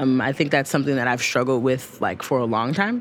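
A woman is speaking. Her pace is very fast. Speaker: writer and media host. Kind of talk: casual chat.

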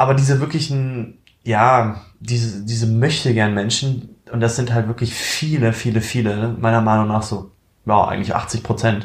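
Fairly even intonation in a somewhat breathy male voice. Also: medium pitch for a man, moderate pace. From eastern Germany (Magdeburg). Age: 20s. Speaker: aspiring young entrepreneur and student. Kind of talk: casual chat.

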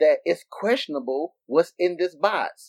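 A man with an ordinary speaking voice talks at a fairly slow pace with lively intonation, in a dry, close sound with no echo. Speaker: podcast co-host. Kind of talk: casual chat.

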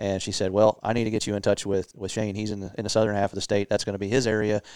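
Recorded very cleanly against a silent background, a man with a fairly low pitch sounds dry and close, with no echo. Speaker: deer outreach specialist. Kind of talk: casual interview.

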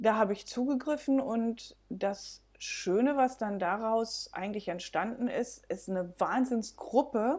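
A woman speaks at a very slow pace with hardly any pauses. Her voice is fairly high, with ordinary pitch variation. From Belgium. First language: bilingual Dutch and German (speaking German). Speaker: B&B owner. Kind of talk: casual interview.

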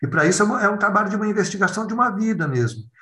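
Audible room echo surrounds a man whose high, bright, sharp voice swings very widely in pitch. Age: 50s. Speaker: clown and educator. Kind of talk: casual interview conversation.

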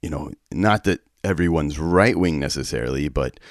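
Speaking at a moderate pace, a man with an American accent has a very deep, low pitch and vocal fry. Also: dry, close sound with no echo. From West Texas. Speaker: church peace worker. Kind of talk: interview. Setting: remote recording.

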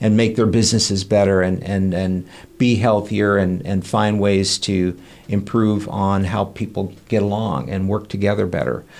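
Delivered at a moderate pace, the speech has fairly even intonation and a Midwestern American accent. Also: man, fairly low pitch for a man. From Kansas, US. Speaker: family physician. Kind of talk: interview.

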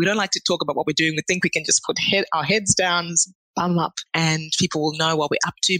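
At a fairly quick pace, a woman with an Australian accent speaks in a bright, sharp, fairly low voice with fairly even intonation and a dry, close sound with no echo. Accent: Australian-tinged. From Zimbabwe. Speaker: chemical engineer. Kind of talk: casual interview.

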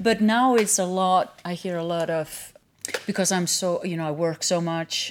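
Her intonation is fairly even and her pitch medium. This woman speaks with an Icelandic accent. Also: moderate pace. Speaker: yoga instructor and studio owner. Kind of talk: casual interview. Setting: yoga studio.

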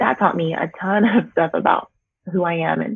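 This woman speaks with an American accent at a fairly low pitch. Her pace is moderate and her pitch variation ordinary. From US West Coast, Bay Area California. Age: 30s. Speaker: travel agent and blogger. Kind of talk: interview.

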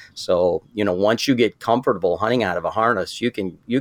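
On a very clean recording with a silent background, a man talks at a moderate pace, the sound dry and close with no echo. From southern Michigan. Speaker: saddle hunting expert. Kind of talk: interview.

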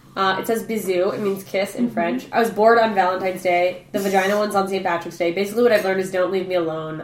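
The speech comes at a very fast pace with hardly any pauses and ordinary pitch variation, with audible room echo and noticeable background noise. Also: woman, medium pitch for a woman. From Alaska. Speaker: podcast guest, former university student. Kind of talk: casual chat.

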